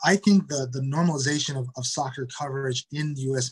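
Over noticeable background noise, a man with an American accent speaks at a fairly high pitch with fairly even intonation. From Detroit, Michigan, US Midwest. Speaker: soccer club media manager. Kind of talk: interview. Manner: halting, many repetitions and fillers.

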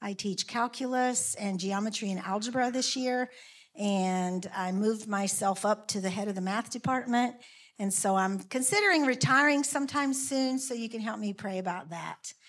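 The speaker is a woman with a Southern US accent. She uses ordinary pitch variation. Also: fairly high pitch for a woman, moderate pace. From rural South Carolina, US South. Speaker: math teacher. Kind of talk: personal introduction in church. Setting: church.

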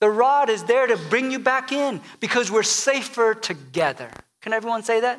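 Here is a man with an extremely high pitch. His pitch varies in an ordinary way. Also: moderate pace. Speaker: pastor. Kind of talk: sermon. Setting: church.

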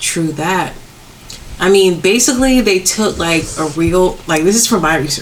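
Lively intonation over noticeable background noise. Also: woman, medium pitch for a woman, moderate pace. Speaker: podcast co-host. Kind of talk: casual chat.

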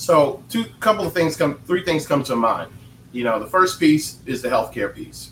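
Fairly high in pitch, a man speaks with lively intonation. His voice shows vocal fry. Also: moderate pace. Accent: American. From North Carolina. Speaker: politician and veteran. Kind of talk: panel discussion.

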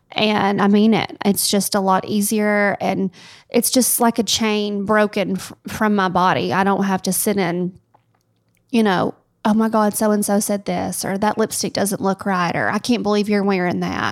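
A woman with a Tennessee accent talks at a moderate pace with fairly even intonation in a very clean recording over a silent background. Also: medium pitch for a woman. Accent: Southern US (Tennessee). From US South, Tennessee. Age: 30s. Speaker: wedding planner, podcast co-host. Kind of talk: casual chat.

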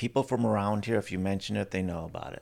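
A man's fairly low voice in an Upper Midwest accent, with ordinary pitch variation, in a very clean recording over a silent background. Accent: Upper Midwest American. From Wisconsin, Milwaukee area. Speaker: playwright and director. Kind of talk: casual interview. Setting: on location in Door County.

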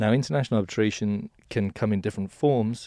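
In an English accent, a man races along at a very fast pace, his fairly low pitch carrying a dark, mellow tone. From England. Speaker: law firm partner. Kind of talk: interview.

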